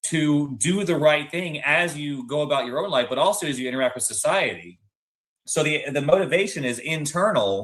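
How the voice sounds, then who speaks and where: His intonation lively and his pitch fairly high, a man talks in an ordinary speaking voice at a moderate pace. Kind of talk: panel discussion.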